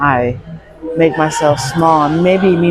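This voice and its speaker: A soft-spoken woman talks in a very deep, low pitch with fairly even intonation. Music plays in the background. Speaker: vlogger. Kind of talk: personal vlog monologue. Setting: gym.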